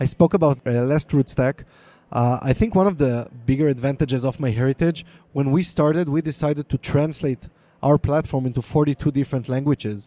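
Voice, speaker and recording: A man with an Israeli accent talks at a fairly quick pace and fairly high pitch, in a dark, mellow tone with ordinary pitch variation and very even loudness. The recording is very clean with a silent background, its sound dry and close with no echo. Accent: Hebrew. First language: Hebrew. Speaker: product manager for a DNA company. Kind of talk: live panel interview.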